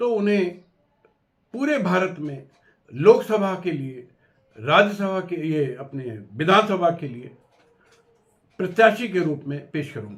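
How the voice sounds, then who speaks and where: A man talks with a high pitch and lively intonation. The room echo is audible. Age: 70s. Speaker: lawyer and party founder. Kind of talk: political address to camera. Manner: formal.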